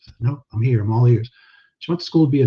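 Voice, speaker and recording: A man speaks softly, his dark, mellow tone somewhat breathy. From New Orleans, Louisiana. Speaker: pastor. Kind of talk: casual chat. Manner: soft-spoken.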